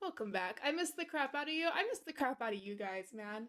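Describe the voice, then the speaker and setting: A woman speaks in a raised, projected voice with a bright, sharp tone. Her delivery is animated, with lively intonation. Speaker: streamer. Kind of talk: casual chat.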